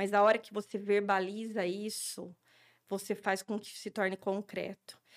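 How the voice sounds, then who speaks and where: At medium pitch and a fairly slow pace, a woman speaks in a normal speaking voice. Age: 40s. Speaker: speech therapist. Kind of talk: interview.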